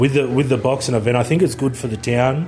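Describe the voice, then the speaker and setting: A man with an Australian accent talks at a very fast pace and medium pitch, with fairly even intonation over noticeable background noise. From Batemans Bay, New South Wales South Coast. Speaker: boxing trainer. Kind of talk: interview monologue.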